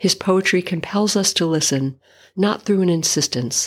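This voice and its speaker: In a plain, everyday voice, a woman speaks at a moderate pace with ordinary pitch variation, in a very clean recording with a silent background. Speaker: podcast host reading poetry. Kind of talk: poem reading aloud, book-page narration. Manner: measured, solemn, lyrical reading with pauses.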